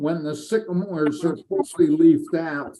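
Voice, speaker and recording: Dark and mellow in tone yet high in pitch, a man talks at a fairly slow pace with ordinary pitch variation. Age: 70s. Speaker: amateur radio presenter. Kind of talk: Q&A after presentation.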